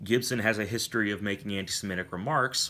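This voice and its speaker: In a very clean recording with a silent background, a man talks at a moderate pace in a bright, sharp tone. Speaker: vlogger, film commentator. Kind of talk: unscripted vlog commentary. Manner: occasional stammering.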